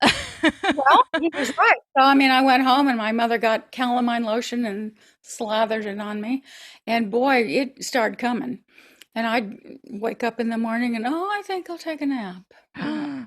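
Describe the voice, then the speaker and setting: High-pitched woman at a moderate pace, very clean recording with a silent background. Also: lively intonation. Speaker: actress, opera singer and voice over actor. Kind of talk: interview answer.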